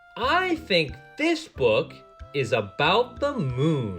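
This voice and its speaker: A man at a very slow pace, upbeat in tone, with music in the background. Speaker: voice actor. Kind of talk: children's phonics lesson narration. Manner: upbeat, clear.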